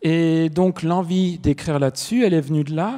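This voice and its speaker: Against a quiet background, a man speaks fairly slowly in a high pitch. His tone is dark and mellow, with ordinary pitch variation. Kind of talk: panel discussion. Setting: stage with audience. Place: stage. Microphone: handheld.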